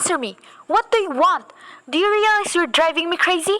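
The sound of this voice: Doing a put-on character voice, a woman talks at a fairly quick pace with an extremely high pitch and a bright, sharp tone. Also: lively intonation.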